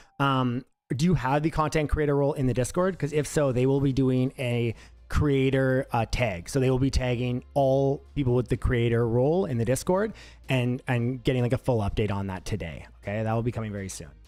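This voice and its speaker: At a fairly quick pace, a man speaks at medium pitch with ordinary pitch variation over music in the background. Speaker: game company representative. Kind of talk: live stream Q&A. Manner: fast; casual, filler-heavy.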